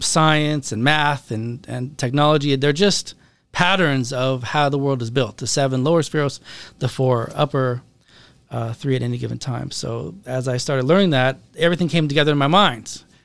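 A man speaks at a moderate pace in an American accent, with a medium pitch and fairly even intonation. He has a plain, everyday voice, and the recording is very clean with a silent background. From US Pacific Northwest, Seattle. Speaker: rabbi and therapist. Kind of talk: podcast interview.

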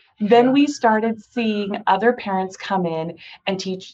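A woman's fairly high voice with an American accent. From Southern California (Cerritos). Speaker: doctor and kids' company founder. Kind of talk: interview.

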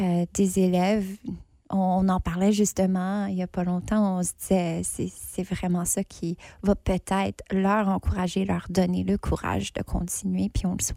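A woman speaks very slowly at a medium pitch, her dark, mellow tone held in a monotone, flat intonation, in a very clean recording with a silent background. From northern Ontario, Franco-Ontarian. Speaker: theatre artist, festival judge. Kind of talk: casual interview.

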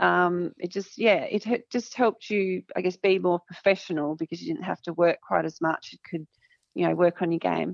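At a moderate pace, a woman speaks with big swings in loudness in a dry, close sound with no echo. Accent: Australian. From country Victoria, Australia. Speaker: former Olympic basketball player. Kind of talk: interview.

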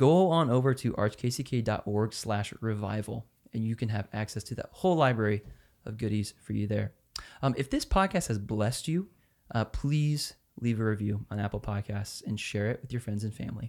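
With an American accent, a man speaks at a medium pitch with ordinary pitch variation and a moderate pace, on a very clean recording with a silent background. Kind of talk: casual faith discussion. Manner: animated.

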